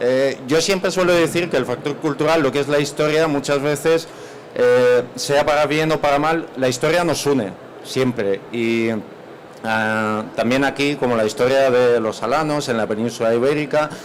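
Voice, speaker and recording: Speaking at a moderate pace, a man with a fairly high pitch keeps his loudness very even and shows ordinary pitch variation, with noticeable background noise around him. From Spain, Málaga area. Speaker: university representative. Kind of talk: panel presentation. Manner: halting.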